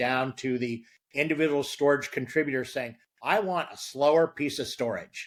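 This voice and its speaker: At a fairly high pitch, a man with a normal speaking voice talks at a moderate pace with ordinary pitch variation. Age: 60s. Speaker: storage company marketing executive. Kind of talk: interview.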